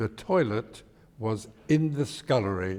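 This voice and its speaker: The speaker is a man with a London accent. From East End of London, England. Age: 90s. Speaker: elderly interviewee recounting his life. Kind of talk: oral history interview. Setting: synagogue.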